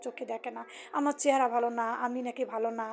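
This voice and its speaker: This woman's voice sits high in pitch. Her delivery is monotone, with flat intonation. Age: 50s. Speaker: vlogger sharing personal life story. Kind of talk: personal testimony monologue.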